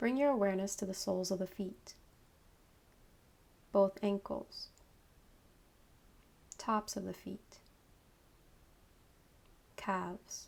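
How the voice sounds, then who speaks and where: A woman speaks at a very slow pace, with long, frequent pauses. Her medium pitch holds fairly even intonation. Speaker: yoga instructor, meditation guide. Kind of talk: guided meditation, yoga nidra.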